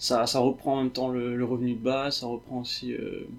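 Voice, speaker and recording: A man at medium pitch, flat and monotone, at a moderate pace. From Réunion. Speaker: software developer. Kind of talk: interview.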